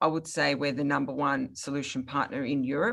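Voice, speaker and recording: With an Australian accent, a woman speaks at a moderate pace in a very deep, low pitch. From Australia, Melbourne. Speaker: product marketing manager, webinar host. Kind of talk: webinar presentation.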